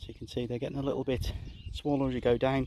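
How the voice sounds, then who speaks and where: With a Shropshire accent, a man speaks in a dark, mellow, somewhat breathy tone. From England, Shropshire. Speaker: gardening vlogger. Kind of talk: casual walk-and-talk garden tour. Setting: outdoors in garden.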